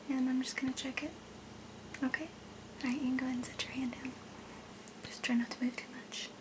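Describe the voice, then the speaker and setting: A woman speaks at a very fast pace in a high, monotone, flat voice, with long, frequent pauses. Noticeable background noise can be heard. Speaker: ASMR role-play creator playing a doctor. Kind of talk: ASMR role play. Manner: whispered, soft-spoken.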